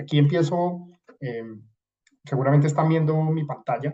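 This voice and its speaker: A fairly quick man's voice, somewhat breathy, dark and mellow in tone, fairly high in pitch, with a slight Colombian accent. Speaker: supply chain consultant. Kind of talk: webinar presentation. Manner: hesitant, many fillers.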